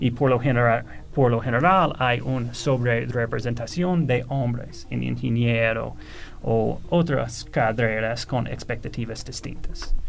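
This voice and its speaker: Audible room echo surrounds this fairly slow delivery in an American accent. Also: man, medium pitch for a man, ordinary pitch variation. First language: English (speaking Spanish). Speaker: economist. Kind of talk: radio interview panel. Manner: halting with fillers.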